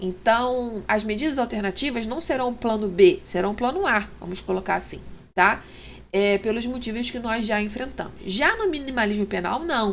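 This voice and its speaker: Her fairly high voice has lively intonation at a moderate pace, and the woman is heard with audible room echo. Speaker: law teacher. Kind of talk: lecture. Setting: online class with screen share. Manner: hesitant, many fillers.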